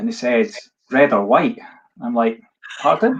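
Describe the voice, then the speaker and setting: A man with a Scottish accent at a moderate pace, with very wide pitch swings. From Scotland. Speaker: live-stream host. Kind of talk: casual chat on a live stream. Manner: animated.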